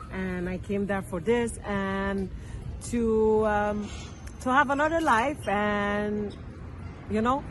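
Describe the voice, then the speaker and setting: A woman with a French accent speaks very slowly at a medium pitch, with ordinary pitch variation, long, frequent pauses and audible room echo. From France. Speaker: local resident interviewee. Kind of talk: street interview. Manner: halting.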